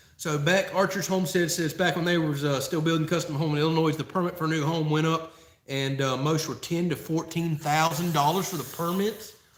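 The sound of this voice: This man's voice sits at a fairly high pitch, with fairly even intonation. He speaks with hardly any pauses over noticeable background noise. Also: fairly quick pace. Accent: Southern.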